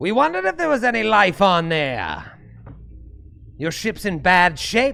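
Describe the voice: A gravelly, put-on character voice at a middle pitch, with a moderate pace and long, frequent pauses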